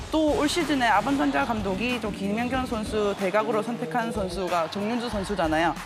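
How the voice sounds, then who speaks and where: Lively intonation at a fairly quick pace, with audible room echo and music in the background. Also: woman. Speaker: volleyball commentator. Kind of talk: sports analysis chat. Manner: halting.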